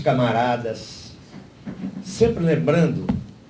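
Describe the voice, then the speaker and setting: A man's dark, mellow, somewhat breathy voice with lively intonation at a very slow pace, amid audible room echo. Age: 60s. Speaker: party lecturer at a political seminar. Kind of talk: lecture.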